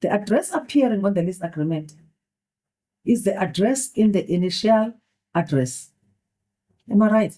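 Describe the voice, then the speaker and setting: At a moderate pace with long, frequent pauses, a woman with a non-native accent speaks at a medium pitch, her dark, mellow tone somewhat breathy and her intonation lively. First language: not English. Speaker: judge. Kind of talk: courtroom questioning. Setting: courtroom.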